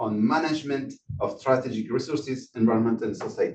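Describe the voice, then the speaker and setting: Here a man speaks with a French accent at a fairly quick pace. His pitch is medium and his intonation fairly even. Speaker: session moderator. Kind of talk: speaker introduction. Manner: halting.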